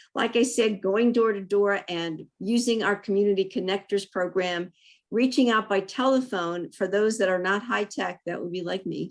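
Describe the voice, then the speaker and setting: The woman has an unremarkable speaking voice at a medium pitch, moving at a moderate pace with fairly even intonation. The recording is very clean with a silent background. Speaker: city council candidate. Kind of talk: candidate forum answer. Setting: virtual forum.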